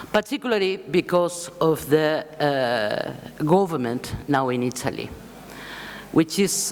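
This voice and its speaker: A woman with a Spanish accent speaks at a very slow pace in a very deep, low voice with lively intonation. Noticeable background noise runs underneath. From Spain. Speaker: left-wing political foundation leader. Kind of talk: conference speech.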